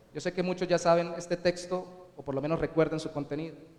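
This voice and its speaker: Amid noticeable background noise, a man speaks at a high pitch with fairly even intonation. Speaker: pastor. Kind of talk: sermon.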